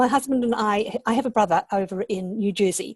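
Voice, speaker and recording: A somewhat breathy woman's voice, fairly high in pitch, with fairly even intonation and a dry, close sound with no echo. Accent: New Zealand. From New Zealand. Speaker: online entrepreneur, interview guest. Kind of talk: online interview.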